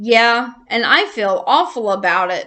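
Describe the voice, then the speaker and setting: A woman uses a put-on character voice at a fairly high pitch. She speaks at a fairly slow pace against a quiet background. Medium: read story. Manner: meek, hesitant.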